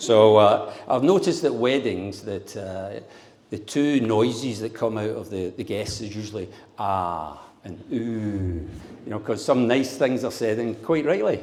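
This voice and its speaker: A man with a Glaswegian accent talks at a fairly slow pace with ordinary pitch variation. Audible room echo surrounds his voice. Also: medium pitch for a man. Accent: Glaswegian Scottish. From Scotland, Glasgow. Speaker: father of the bride. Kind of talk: wedding speech. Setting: wedding reception with audience. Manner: humorous, audience-engaging.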